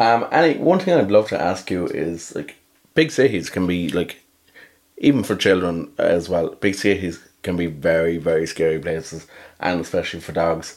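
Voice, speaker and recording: A man with an Irish accent and a very deep, low pitch. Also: ordinary pitch variation, moderate pace. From Ireland. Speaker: podcast host. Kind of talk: interview.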